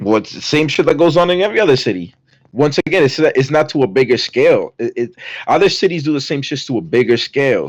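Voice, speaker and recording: A man talks very fast with a fairly high pitch and lively intonation. Vocal fry runs through his voice. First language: not English. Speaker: guest debating crime. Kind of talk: heated debate. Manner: halting, many restarts.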